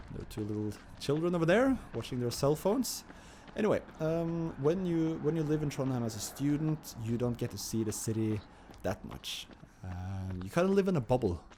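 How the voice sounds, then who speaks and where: Somewhat breathy and dark, mellow in tone, a man speaks in a fairly high pitch. His pace is fairly quick, with very wide pitch swings. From Norway, Oslo. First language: Norwegian. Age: 30s. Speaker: vlogger. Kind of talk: casual vlog monologue. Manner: halting, many fillers and repeats.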